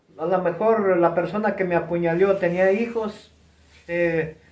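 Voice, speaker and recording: Over audible room echo, a man talks at a fairly slow pace with a high pitch. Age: 70s. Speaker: retired professional wrestler. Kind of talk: interview, reminiscing. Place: home room. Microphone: camera far.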